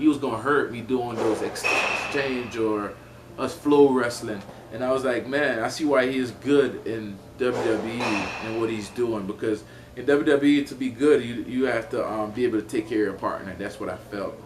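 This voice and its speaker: A man's medium-pitched voice, with fairly even intonation, comes through audible room echo and noticeable background noise. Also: moderate pace. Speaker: MMA fighter. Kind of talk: casual interview chat.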